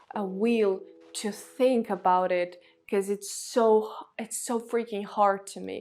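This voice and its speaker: A woman with a Russian accent talks at a medium pitch. Her intonation is monotone and flat. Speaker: English teacher. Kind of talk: personal vlog monologue.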